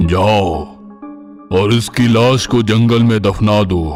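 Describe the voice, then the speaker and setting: A man uses a cartoonish character voice, fairly low in pitch and at a fairly slow pace. Clear music plays in the background. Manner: commanding.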